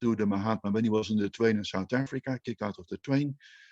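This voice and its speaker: Someone with a Dutch accent talks at a very fast pace with ordinary pitch variation, in a dry, close sound with no echo. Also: man. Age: 60s. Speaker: Indologist. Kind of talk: panel talk. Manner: hesitant, with fillers and repetitions.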